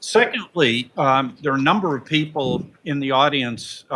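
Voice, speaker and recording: There is ordinary variation in the pitch of this man's speech. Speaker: seminar host introducing the event. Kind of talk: event introduction remarks. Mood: light, joking. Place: meeting room. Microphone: podium.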